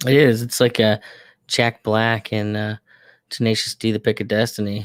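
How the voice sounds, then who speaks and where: In a dry, close sound with no echo, a man speaks at a moderate pace with monotone, flat intonation. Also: medium pitch for a man, very clean recording, silent background. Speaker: podcast host. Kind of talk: casual chat. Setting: home studio, live stream. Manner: loud.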